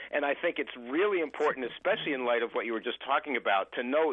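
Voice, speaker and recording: Talking at a fairly quick pace, a man uses a fairly high pitch with ordinary pitch variation. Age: 60s. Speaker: caller. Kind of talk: call-in comment on radio/TV talk show. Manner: halting, many fillers.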